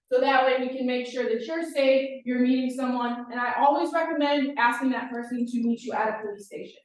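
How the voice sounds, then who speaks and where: A woman's high-pitched voice at a fairly quick pace, fairly even in intonation, with audible room echo. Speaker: campus police officer. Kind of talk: presentation. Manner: fast.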